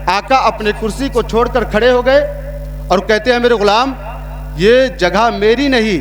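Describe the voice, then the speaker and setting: Against background music and audible room echo, a man with a high pitch leaves long, frequent pauses, keeping his intonation fairly even. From India, Allahabad. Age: young. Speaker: Islamic preacher. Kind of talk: sermon.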